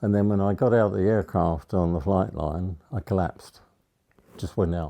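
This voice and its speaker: With an English accent, a man speaks at a very deep, low pitch in a dark, mellow tone. His pitch varies in an ordinary way against a quiet background. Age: 90s. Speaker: war veteran. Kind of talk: interview. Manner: halting.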